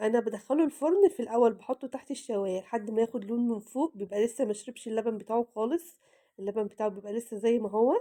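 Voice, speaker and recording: With a dark, mellow tone and a fairly high pitch, a woman talks at a fairly quick pace with hardly any pauses, in a dry, close sound with no echo. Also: ordinary pitch variation. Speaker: cooking vlogger. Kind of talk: cooking tutorial. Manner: casual, chatty.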